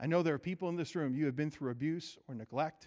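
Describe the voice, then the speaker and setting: Against a quiet background, a man with a fairly high pitch and ordinary pitch variation talks at a fairly quick pace. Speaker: guest preacher. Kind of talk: sermon. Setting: church.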